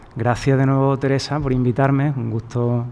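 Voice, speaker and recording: A man speaks with fairly even intonation. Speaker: debate moderator. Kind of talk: moderator's opening remarks at a panel. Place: hall.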